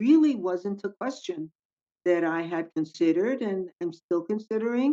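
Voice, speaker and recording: Over a dry, close sound with no echo, a woman talks at a fairly slow pace in a medium pitch, with a dark, mellow tone and lively intonation. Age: 70s. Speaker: retired government worker and consultant. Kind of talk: roundtable podcast discussion.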